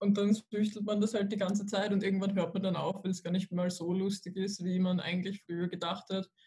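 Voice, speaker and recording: At a fairly quick pace, a woman talks with hardly any pauses. Her medium-pitched delivery is monotone and flat. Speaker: university student. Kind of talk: casual chat.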